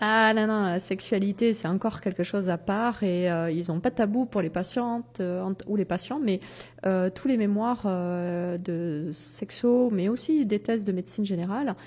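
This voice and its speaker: At a fairly slow pace, a woman speaks in a medium pitch with ordinary pitch variation. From southwest France. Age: 50s. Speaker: doctor and sexologist. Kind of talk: interview. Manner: hesitant, many filler sounds.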